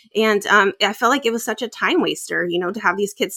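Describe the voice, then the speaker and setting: In a dry, close recording with no echo, a woman speaks fairly quickly at medium pitch, her tone bright and sharp, her intonation fairly even, with vocal fry. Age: 30s. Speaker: podcaster guest. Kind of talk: casual interview chat.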